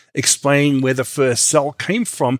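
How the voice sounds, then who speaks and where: A man with an Australian accent and a fairly high pitch is heard on a very clean recording with a silent background. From Australia and New Zealand. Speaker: creationist scientist, PhD chemist. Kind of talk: interview on science and faith. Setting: studio.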